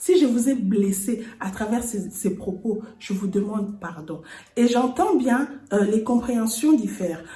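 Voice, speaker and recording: A woman with a Congolese accent speaks very slowly at a fairly high pitch with lively intonation, over noticeable background noise and audible room echo. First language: Lingala (speaking French). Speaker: lifestyle and home decor YouTuber. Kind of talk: personal vlog address to viewers. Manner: earnest.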